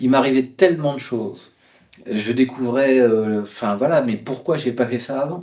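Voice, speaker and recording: Speaking at a moderate pace, a man with a medium-pitched voice and a dark, mellow tone uses lively intonation. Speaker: travel writer. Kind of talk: interview. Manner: hesitant, many fillers.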